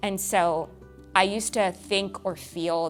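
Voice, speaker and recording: Over music in the background, a woman in an American accent speaks with ordinary pitch variation. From California. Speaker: Angel Tree Events Manager at a prison ministry. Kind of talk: personal testimony interview.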